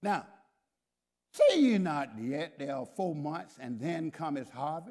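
A man talks at a very slow pace in a fairly high pitch. His intonation is lively. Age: 70s. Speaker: pastor. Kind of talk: sermon. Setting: church with congregation. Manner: animated.

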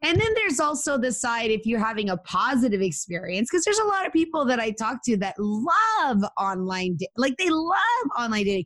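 Against noticeable background noise, a woman talks fairly quickly in a high pitch with very wide pitch swings and hardly any pauses. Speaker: matchmaker and online dating expert. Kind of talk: interview.

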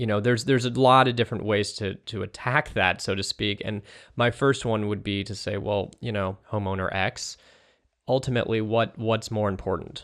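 A man with an American accent speaks at a moderate pace and a fairly low pitch, with fairly even intonation. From California. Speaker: guest commentator on politics. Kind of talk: interview discussion.

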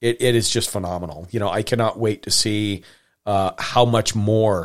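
On a very clean recording with a silent background, a man with an American accent uses an ordinary speaking voice and fairly even intonation. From Montana. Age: 40s. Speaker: podcast host. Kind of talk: casual chat.

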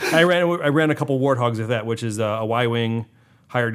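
A man speaks in an unremarkable speaking voice at a medium pitch. The recording is very clean, with a silent background. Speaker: board game podcast co-host. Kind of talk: casual chat.

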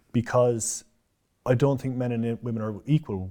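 A man with a Cork accent talks at a fairly quick pace in a medium pitch with a dark, mellow tone. The recording is very clean, with a silent background. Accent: Cork Irish. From Ireland, Cork city. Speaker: personal trainer. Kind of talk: interview.

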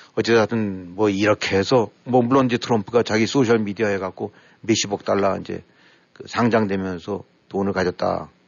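Speaking at a moderate pace, a man with an unremarkable speaking voice keeps his intonation fairly even and his pitch fairly low. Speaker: political commentator. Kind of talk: casual chat.

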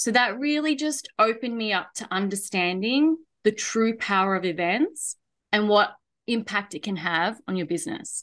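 Woman with an Australian accent, fairly high pitch and lively intonation, moderate pace, quiet background. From Australia, Melbourne. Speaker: event and marketing consultant. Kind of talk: interview podcast chat.

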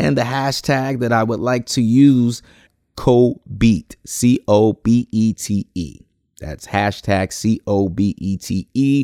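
A man with an American accent speaks at a very slow pace in a dark, mellow tone. The recording is very clean with a silent background, and the sound is dry and close with no echo. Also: medium pitch for a man, ordinary pitch variation. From New Jersey, Plainfield. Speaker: podcast host and educator. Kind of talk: solo podcast monologue.

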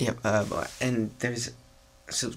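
Monotone, flat intonation with vocal fry at a fairly slow pace. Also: man. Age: 20s. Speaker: singer-songwriter. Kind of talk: casual chat. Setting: studio.

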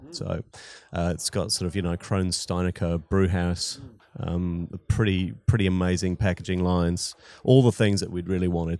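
A man with a New Zealand accent speaks at a moderate pace with a very deep, low pitch and fairly even intonation. The recording is very clean, with a silent background. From New Zealand (Wellington, Christchurch). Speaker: brewery co-founder and brewer. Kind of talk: interview.

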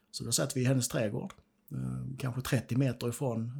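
This man talks at a moderate pace. His voice is somewhat breathy. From southern Sweden, Skåne (Ängelholm). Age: 50s. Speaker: peacekeeping war veteran. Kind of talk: interview testimony. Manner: halting.

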